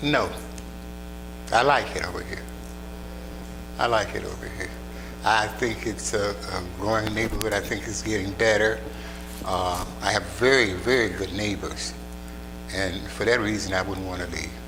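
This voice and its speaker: With long, frequent pauses and very wide pitch swings, a man speaks in a very deep, low voice, with audible room echo and noticeable background noise. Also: moderate pace. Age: 80s+. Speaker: retired fashion designer. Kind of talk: interview. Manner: casual.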